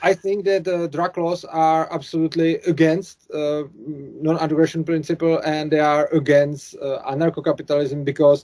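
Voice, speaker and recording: A man with a Czech accent talks fairly slowly in a fairly high pitch, his tone dark and mellow and his intonation fairly even. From Czech Republic. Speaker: YouTuber, anarcho-capitalist commentator. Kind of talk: interview conversation. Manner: halting, hesitant English.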